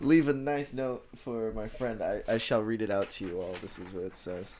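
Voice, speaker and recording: A man talks at a moderate pace and a medium pitch, with ordinary pitch variation. Room echo is audible. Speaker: podcast co-host. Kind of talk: casual chat.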